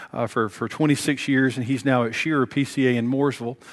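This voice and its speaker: A man speaks at a fairly quick pace with an American accent. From US South, Tennessee (Bristol, on the Virginia border). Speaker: pastor. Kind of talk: sermon. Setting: church.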